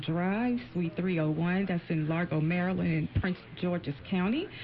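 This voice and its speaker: Over music in the background, a woman with a fairly low voice speaks with lively intonation. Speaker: employment attorney. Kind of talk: radio interview. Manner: halting, repeats words.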